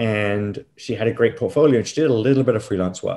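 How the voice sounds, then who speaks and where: A man talks in an unremarkable speaking voice at medium pitch. His pitch varies in an ordinary way. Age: 40s. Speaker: business host and entrepreneur. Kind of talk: casual interview chat.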